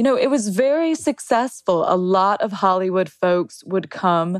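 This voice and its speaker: Here is a woman with a plain, everyday voice, medium in pitch and lively in intonation. She speaks at a moderate pace, and the sound is dry and close with no echo. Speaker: journalist and historian. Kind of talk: interview.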